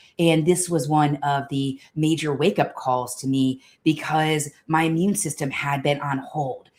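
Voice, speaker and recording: A woman with a very deep, low pitch speaks at a fairly slow pace with fairly even intonation and hardly any pauses. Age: 40s. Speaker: health coach and organizational psychologist. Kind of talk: live stream talk. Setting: live multi-platform stream.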